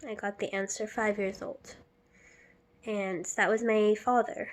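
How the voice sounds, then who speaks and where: Soft-spoken and fairly high in pitch, a woman speaks at a very slow pace. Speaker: vlogger. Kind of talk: personal vlog monologue.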